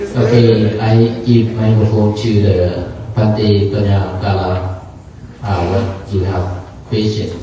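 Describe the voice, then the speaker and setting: A man talks at a very slow pace with fairly even intonation. Audible room echo and noticeable background noise are present. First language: not English. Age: 60s. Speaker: Buddhist monk. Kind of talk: dharma talk. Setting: gathering with audience and microphone. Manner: halting.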